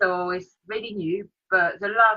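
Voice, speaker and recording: Speaking in a French accent, a woman uses a medium pitch and fairly even intonation. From France, Paris. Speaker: freelance business support provider. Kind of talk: casual interview.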